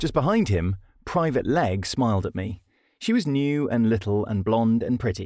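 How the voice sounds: The speaker uses a natural reading voice, with intonation that is lively.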